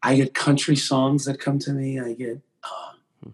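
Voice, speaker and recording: Here a man speaks in a fairly high pitch. His voice is somewhat breathy. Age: 40s. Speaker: singer and entertainer. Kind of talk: casual interview. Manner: animated.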